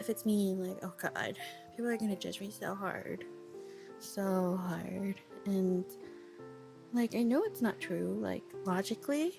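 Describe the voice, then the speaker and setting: Music plays in the background as a woman talks at a fairly slow pace. She takes long, frequent pauses. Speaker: VTuber. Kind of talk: casual spoken audio diary. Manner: rambling, casual, frequent filler words.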